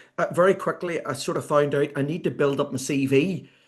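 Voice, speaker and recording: A man speaks in an Irish accent at a moderate pace. His pitch is fairly high. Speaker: sports consultant and author. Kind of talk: podcast interview. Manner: speeds up when excited.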